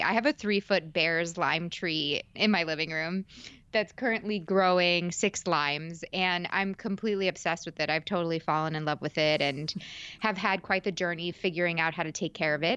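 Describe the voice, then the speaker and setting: A woman with a fairly low pitch and a bright, sharp tone speaks at a moderate pace with ordinary pitch variation against a quiet background. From New York suburbs. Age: 20s. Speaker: podcast host and actress. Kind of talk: interview conversation. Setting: video call.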